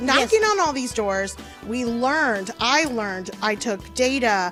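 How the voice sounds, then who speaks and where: Music plays in the background as a woman with an American accent speaks at a fairly slow pace in a fairly high voice with ordinary pitch variation. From Houston, Texas. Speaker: labor organizer and party official. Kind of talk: interview answer.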